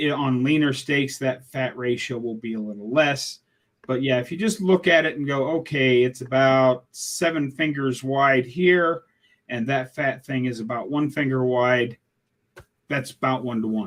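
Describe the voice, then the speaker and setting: A normal speaking voice belonging to a man, moderately paced, medium in pitch, with ordinary pitch variation. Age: 60s. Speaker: guest sharing health testimony. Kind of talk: casual interview chat.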